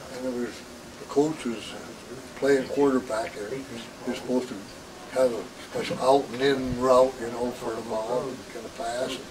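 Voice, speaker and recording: Noticeable background noise and audible room echo surround a man with an American accent, who speaks at medium pitch and a moderate pace. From Washington State, US. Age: 70s. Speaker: family elder interviewee. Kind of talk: oral history interview. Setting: family reunion. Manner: halting.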